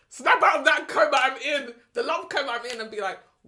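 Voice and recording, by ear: A woman with a South London accent speaks at a high pitch in a bright, sharp tone. Her intonation is lively and her pace moderate.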